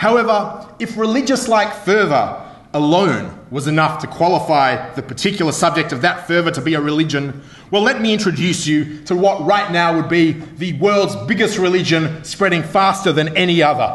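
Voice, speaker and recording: Amid audible room echo, a man with an Australian accent and a high pitch speaks at a moderate pace with ordinary pitch variation. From Melbourne, Australia. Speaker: comedy debater. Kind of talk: comedic debate speech. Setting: stage with audience. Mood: humorous, wry. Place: hall. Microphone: podium.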